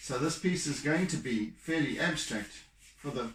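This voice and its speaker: A man talks at a fairly slow pace with ordinary pitch variation. His voice is somewhat breathy. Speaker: artist. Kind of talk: painting tutorial. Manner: mumbling, halting.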